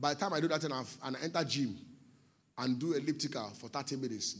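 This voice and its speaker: This voice carries a Nigerian accent and an animated tone. Its pitch moves in an ordinary way. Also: man. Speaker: pastor. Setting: church.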